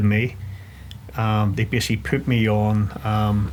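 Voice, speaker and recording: A man speaks with a Northern Irish accent. His pitch is fairly low. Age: 40s. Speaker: ex-special forces soldier. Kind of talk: interview. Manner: halting.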